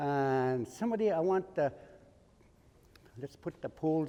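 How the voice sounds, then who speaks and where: Fairly high in pitch, this man has a dark, mellow tone and lively intonation. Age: 70s. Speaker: elder and cultural teacher. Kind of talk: talk to students and hands-on instruction. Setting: school garden area with students. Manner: directive, repetitive instructions.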